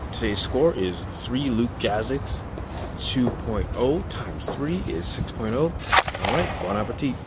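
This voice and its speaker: Over loud background noise, a man whispers at a fairly slow pace. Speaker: food reviewer. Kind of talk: casual vlog review. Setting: indoors in public building, selfie camera. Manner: whispering. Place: street. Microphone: phone near.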